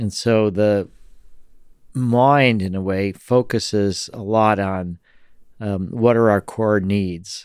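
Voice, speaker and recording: Over a quiet background, this voice moves at a very slow pace with fairly even intonation and a dry sound with no echo. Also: man. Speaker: podcast guest. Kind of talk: interview answer. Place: studio. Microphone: studio mic.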